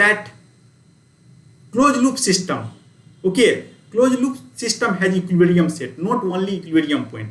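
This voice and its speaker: Audible room echo surrounds speech with lively intonation. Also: man. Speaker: university lecturer. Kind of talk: lecture. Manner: fast.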